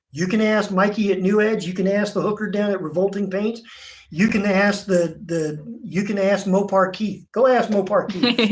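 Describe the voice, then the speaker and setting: A man with a Southern US accent speaks at a high pitch and a moderate pace. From Virginia, US. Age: 50s. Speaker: auto painter, shop owner. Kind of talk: livestream chat. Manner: animated, loud.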